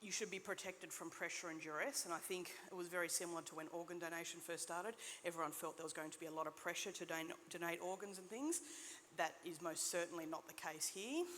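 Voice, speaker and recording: Very fast speech comes from a woman with an Australian accent. Her pitch is fairly low and her intonation fairly even. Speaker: nurse practitioner. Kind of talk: conference talk. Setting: stage with audience.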